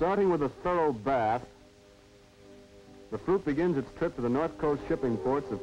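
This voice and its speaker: Lively intonation carries the speech, with music in the background. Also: man. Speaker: narrator. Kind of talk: documentary narration.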